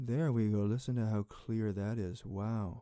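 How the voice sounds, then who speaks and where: In a put-on character voice, a man sounds booming and resonant at a medium pitch, keeping a moderate pace. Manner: demonstrating a voice technique.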